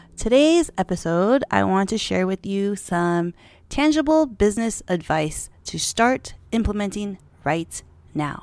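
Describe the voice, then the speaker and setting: Using a robotic, put-on character voice, a woman speaks at a fairly slow pace from a medium pitch with very wide pitch swings. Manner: robotic, mechanical.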